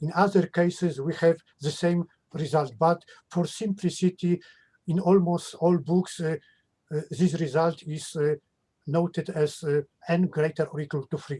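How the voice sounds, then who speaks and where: A man's high, dark, mellow voice with a Polish accent, fairly even intonation, a moderate pace and long, frequent pauses, in a dry, close sound with no echo. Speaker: mathematician. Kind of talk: academic Q&A. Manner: halting.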